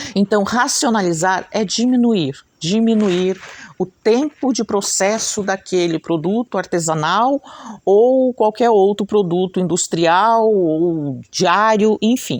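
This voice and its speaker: A woman with a medium pitch speaks at a very slow pace, with ordinary pitch variation and very even loudness. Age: 60s. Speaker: craft teacher and channel host. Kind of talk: casual talk to camera. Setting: at home. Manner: chatty, conversational.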